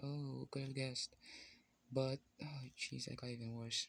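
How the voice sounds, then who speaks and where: This man speaks with a non-native accent at a medium pitch. His intonation stays fairly even. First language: not English. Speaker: content creator drawing on camera. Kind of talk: casual vlog monologue while drawing. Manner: halting, many fillers.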